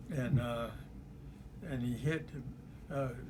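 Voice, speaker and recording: A man with a South Carolina accent at a fairly slow pace, with ordinary pitch variation. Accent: Southern US (South Carolina). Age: 80s+. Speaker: war veteran. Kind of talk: interview answer.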